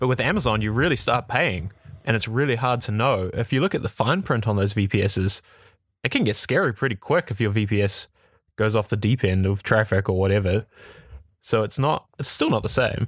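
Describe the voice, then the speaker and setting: This man has a New Zealand accent and a medium pitch. He talks at a fairly quick pace with very even loudness. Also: ordinary pitch variation. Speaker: tech podcast host. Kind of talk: casual chat. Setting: remote call.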